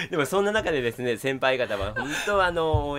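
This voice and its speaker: A man speaks in an animated tone with lively intonation and a fairly quick pace. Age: 20s. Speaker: TV announcer. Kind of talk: casual chat.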